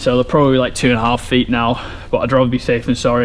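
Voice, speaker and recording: A man talks over noticeable background noise. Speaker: farmer. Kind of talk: casual vlog narration.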